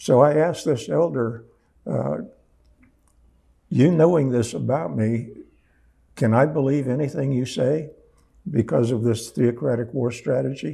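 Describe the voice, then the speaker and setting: A man talks at a fairly slow pace with a medium pitch, ordinary pitch variation and long, frequent pauses. His tone is dark and mellow with vocal fry, and there is audible room echo. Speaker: apologetics ministry founder. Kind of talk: conference talk. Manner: halting.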